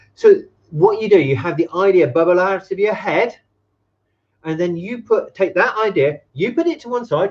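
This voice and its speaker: With an English accent, a man speaks at a moderate pace in a high voice with lively intonation. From England. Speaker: business consultant. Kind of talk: live stream talk to camera. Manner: casual, energetic, profane.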